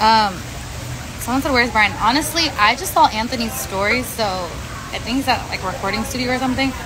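Someone with an American accent talks at a fairly quick pace with ordinary pitch variation over noticeable background noise. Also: woman, fairly high pitch for a woman. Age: 20s. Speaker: social media influencer; live streamer. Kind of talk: casual livestream chat. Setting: outdoors. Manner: chatty, filler-heavy. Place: beach. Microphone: phone near.

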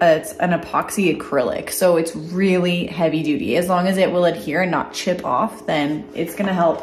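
A woman in an unremarkable speaking voice, with ordinary pitch variation and light background noise behind her. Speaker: DIY vlogger. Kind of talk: casual vlog chat. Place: workshop. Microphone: phone near.

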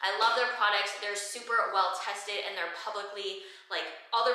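Audible room echo surrounds a woman speaking in a monotone, flat way at a fairly quick pace against a quiet background. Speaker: fitness trainer and content creator. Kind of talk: Q&A vlog. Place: gym.

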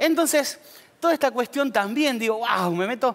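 A man speaks in an animated tone with a Rioplatense accent. The background is quiet. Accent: Argentine Rioplatense Spanish. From Argentina, Pergamino (Buenos Aires province); Buenos Aires province, Argentina. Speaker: teacher and psychologist; teacher. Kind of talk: conference talk. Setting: auditorium stage with audience. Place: stage. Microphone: headset.

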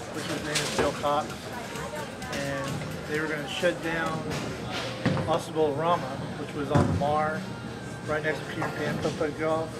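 Loud music plays in the background while the speaker keeps a moderate pace. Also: man. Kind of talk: interview answer. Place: hall.

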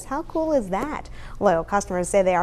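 A woman's voice moves in very wide pitch swings. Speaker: TV news reporter. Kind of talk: TV news report. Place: studio. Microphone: lapel.

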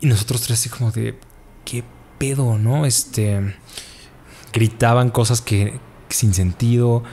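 Over light background noise, a man speaks fairly slowly with fairly even intonation and long, frequent pauses. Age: 30s. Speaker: storyteller guest; guest. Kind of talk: storytelling testimony. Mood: relaxed, sometimes laughing. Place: home room. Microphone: studio mic.

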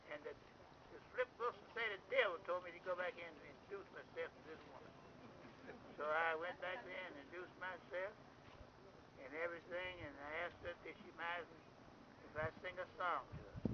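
Over noticeable background noise, a man with an American accent and a high pitch speaks with fairly even intonation. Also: moderate pace, big swings in loudness. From Florida. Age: 80s+. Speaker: former bus porter. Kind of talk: oral history storytelling. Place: open country.

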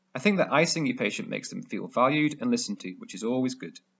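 A man with a British accent talks very fast in a fairly high pitch, his voice swinging very widely in pitch. Vocal fry runs through his speech. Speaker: emergency medicine doctor / medical educator. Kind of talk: educational medical tutorial talk to camera.

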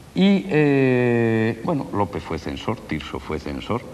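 Very wide pitch swings mark this man's speech, heard over light background noise. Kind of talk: interview answer. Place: street.

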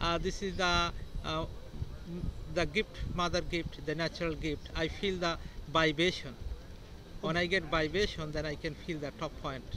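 A man's high-pitched voice at a moderate pace, monotone and flat, with long, frequent pauses, a dry sound with no echo, and noticeable background noise. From India. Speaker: rock balancing artist, Reiki master. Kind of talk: interview answer. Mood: calm, earnest, spiritual. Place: street. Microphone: phone near.

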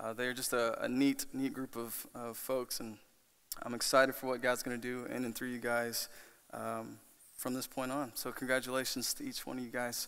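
At a moderate pace, a man delivers his words. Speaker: student pastor. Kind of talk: sermon. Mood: warm, emotional. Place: church. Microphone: podium.

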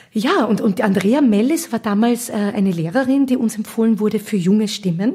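A woman speaks at a moderate pace in a plain, everyday voice, her medium pitch carried by lively intonation. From Austria, Vienna area (Gablitz). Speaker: singer and musical actress. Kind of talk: casual interview. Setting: at her home in Gablitz.

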